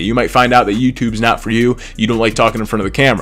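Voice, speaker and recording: Over music in the background, a man talks very fast at a medium pitch. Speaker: gaming YouTuber. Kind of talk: casual vlog talk to camera. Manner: halting, many fillers and repeats.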